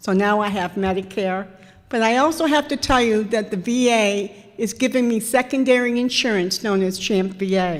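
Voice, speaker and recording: Fairly high in pitch with ordinary variation, a woman with an unremarkable speaking voice talks at a moderate pace. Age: 60s. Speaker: veteran's widow and volunteer counselor. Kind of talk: public talk at a town hall meeting. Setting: town hall meeting with audience.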